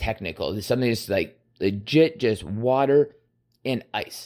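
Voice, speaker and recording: An ordinary speaking voice with ordinary pitch variation moves at a moderate pace in a very clean recording with a silent background. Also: man. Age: 30s. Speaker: solo podcaster. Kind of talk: casual monologue. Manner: rambling with many fillers.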